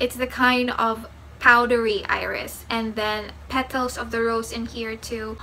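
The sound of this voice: A woman talks at a fairly slow pace in a bright, sharp tone. Faint background noise can be heard.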